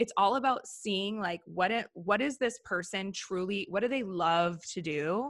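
A woman with an American accent talks at a fairly slow pace, with hardly any pauses. Her tone is animated, with ordinary pitch variation. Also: medium pitch for a woman. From US Upper Midwest (Minneapolis / Wisconsin border). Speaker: branding and web design agency founder. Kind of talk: casual interview.

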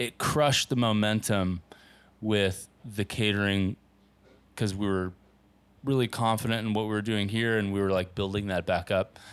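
A man's fairly even, moderately paced speech comes through on a very clean recording with a silent background. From US West Coast, Southern California. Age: 30s. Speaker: pizzeria owner. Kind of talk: casual interview. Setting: in his pizzeria.

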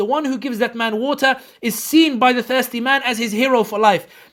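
A man with a London accent talks at a very fast pace. His pitch is extremely high, with ordinary variation. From London, England. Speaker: political commentator. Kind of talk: casual interview. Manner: repetitive halting.

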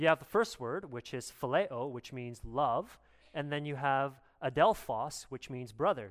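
A man with a plain, everyday voice speaks at a fairly high pitch and a fairly slow pace. His intonation is lively, and his loudness swings widely. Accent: Canadian. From Canada. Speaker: pastor. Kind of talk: sermon. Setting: church.

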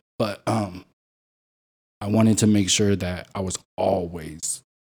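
Very deep and low, a man's voice carries a dark, mellow tone and fairly even intonation. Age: 30s. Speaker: single father. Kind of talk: casual interview chat.

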